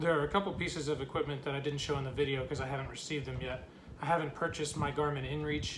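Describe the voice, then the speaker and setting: Over light background noise, a man talks with fairly even intonation. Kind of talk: casual vlog chat. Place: home room. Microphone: phone near.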